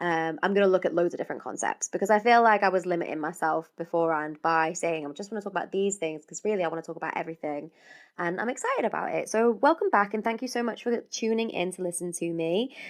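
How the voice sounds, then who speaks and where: A woman's very fast delivery with hardly any pauses, medium pitch, ordinary pitch variation, and a British accent. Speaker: podcast host. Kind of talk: casual podcast monologue. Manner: chatty, rambling.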